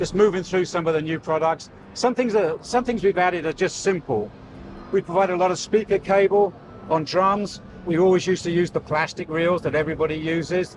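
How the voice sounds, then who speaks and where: Over noticeable background noise, the speaker uses an enthusiastic tone at a fairly quick pace with ordinary pitch variation. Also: man, high pitch for a man. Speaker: audio company representative. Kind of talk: trade show booth tour. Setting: trade show booth. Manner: enthusiastic, some hesitations.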